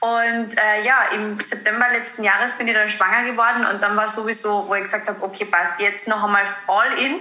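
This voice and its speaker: With audible room echo and noticeable background noise, a woman speaks at a moderate pace in a fairly high pitch and fairly even intonation. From Austria, Carinthia. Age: 20s. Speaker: mindfulness coach. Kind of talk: interview.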